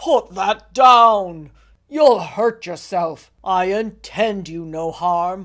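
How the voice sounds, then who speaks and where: This put-on character voice sits at middle pitch and moves at a very slow pace. The recording is very clean, with a silent background. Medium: read story. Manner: sorrowful, measured.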